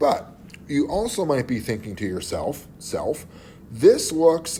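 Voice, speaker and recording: A man's dark, mellow tone with audible room echo. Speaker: chemistry teacher. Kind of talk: lecture. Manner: casual.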